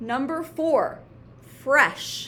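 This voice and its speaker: A woman speaks very slowly in a bright, sharp tone. Room echo is audible. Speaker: elementary school teacher. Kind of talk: homework tutorial for pupils; dictated spelling test.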